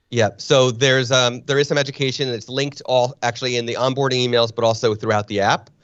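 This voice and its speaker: A man with an American accent rattles off words at a very fast pace with hardly any pauses, keeping a medium pitch in a flat monotone. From northern New Jersey, Springfield. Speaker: photographer. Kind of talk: casual interview.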